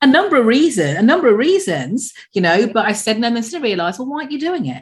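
A woman talks at a very fast pace with vocal fry and very wide pitch swings. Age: 50s. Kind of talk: scripted podcast intro and outro; casual interview chat.

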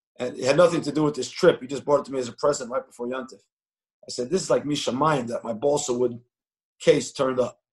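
A man with a fairly high, somewhat breathy voice at a very fast pace, his intonation fairly even. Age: 40s. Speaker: investor and yeshiva alumnus speaking to students. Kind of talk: online interview talk.

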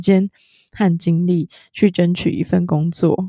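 Speaking very slowly in a southern Taiwanese accent, the voice has a dark, mellow tone. The sound is dry and close, without echo. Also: woman. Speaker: podcast co-host. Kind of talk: casual chat.

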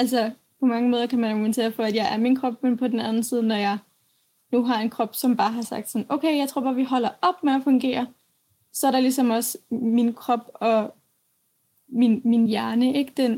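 A woman speaks at a moderate pace with long, frequent pauses, her high voice carrying a dark, mellow tone. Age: 20s. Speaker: young author with chronic illness. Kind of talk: interview. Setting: remote connection from home. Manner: halting, many fillers.

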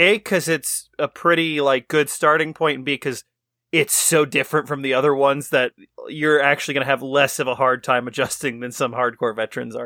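A man with an ordinary speaking voice, fairly high in pitch, with fairly even intonation and a fairly quick pace, in a very clean recording with a silent background and dry, close sound with no echo. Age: adult. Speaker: podcast co-host. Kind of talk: casual chat.

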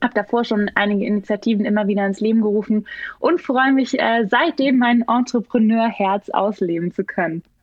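A woman has a plain, everyday voice with a fairly high pitch. She keeps a moderate pace and ordinary pitch variation. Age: 30s. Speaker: startup founder. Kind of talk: podcast interview.

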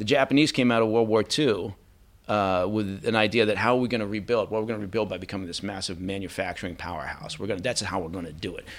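A man with an American accent talks at a very fast pace and fairly low pitch with ordinary pitch variation, on a very clean recording with a silent background. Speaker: former intelligence officer and podcaster. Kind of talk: interview conversation. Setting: in studio. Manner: candid, opinionated.

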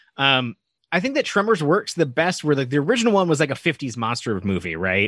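A man talks at a fairly quick pace with very wide pitch swings. The sound is dry and close with no echo, over a quiet background. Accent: American. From Nevada. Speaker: podcast co-host. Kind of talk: casual chat.

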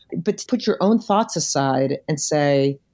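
Over a quiet background, a woman's dark, mellow tone rises and falls through very wide pitch swings. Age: 50s. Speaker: retired business executive. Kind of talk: interview.

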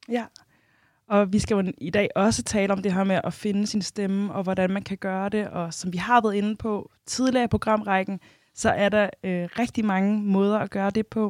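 A woman with a medium pitch speaks at a moderate pace in a flat monotone. The recording is very clean with a silent background and a dry, close sound with no echo. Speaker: radio co-host. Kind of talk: casual chat. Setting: studio.

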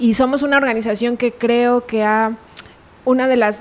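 Using a normal speaking voice, a woman moves at a moderate pace. Her intonation is fairly even. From Mexico, Pachuca, Hidalgo. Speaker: animal rights organization director. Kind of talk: interview. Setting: in person.

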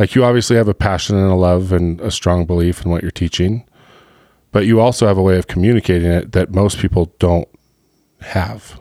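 At a fairly quick pace, the voice has a dark, mellow tone, recorded with a dry, close sound with no echo over a very clean, silent background. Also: man, very deep, low pitch for a man, ordinary pitch variation. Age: 40s. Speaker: podcast host. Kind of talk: casual interview chat. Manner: animated.

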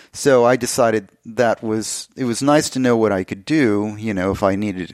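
A man with an American accent uses an ordinary speaking voice at a moderate pace, with ordinary pitch variation. The recording is very clean with a silent background and a dry, close sound with no echo. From Texas, El Paso. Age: 50s. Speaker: artist. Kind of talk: interview.

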